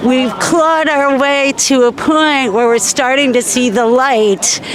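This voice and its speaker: Noticeable background noise sits behind a woman with a high pitch. Her intonation is fairly even and her pace fairly slow. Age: 60s. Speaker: marcher interviewed at a protest. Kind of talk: street interview. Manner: measured, with many fillers.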